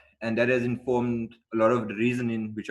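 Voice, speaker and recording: A man's voice against a quiet background. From South Africa. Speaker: educator and learning centre co-founder. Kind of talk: online talk. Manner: halting.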